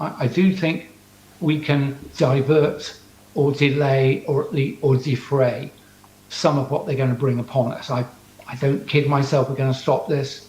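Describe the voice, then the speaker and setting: A man with an English accent and a fairly high pitch speaks at a moderate pace with fairly even intonation, amid audible room echo and noticeable background noise. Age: 60s. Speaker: scientist. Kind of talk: talk to audience via video link. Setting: video call to conference audience.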